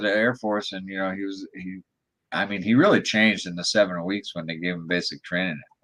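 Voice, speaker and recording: With a plain, everyday voice, the speaker keeps a moderate pace. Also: man. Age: 60s. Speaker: drone photographer. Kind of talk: casual chat.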